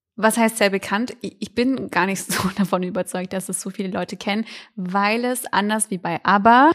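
Heard dry and close with no echo, a woman speaks at a moderate pace with medium pitch, ordinary pitch variation and an ordinary speaking voice. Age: 20s. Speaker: student radio podcast co-host. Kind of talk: casual chat.

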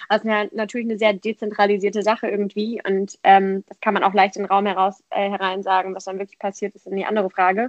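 Speaking at a very fast pace with hardly any pauses, a woman keeps a monotone, flat intonation at medium pitch while her loudness swings widely, in a dry, close sound with no echo. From Germany, Frankfurt area. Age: 20s. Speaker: politician and student activist. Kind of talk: casual interview. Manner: hesitant, many fillers.

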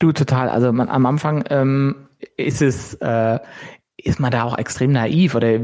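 This is a man with an ordinary speaking voice and a medium pitch. His intonation stays fairly even. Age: 40s. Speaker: entrepreneur. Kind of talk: interview.

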